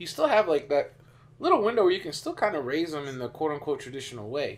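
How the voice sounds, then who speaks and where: This is a man speaking. He has a Spanish accent. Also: very clean recording, silent background. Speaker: podcast host. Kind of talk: casual chat.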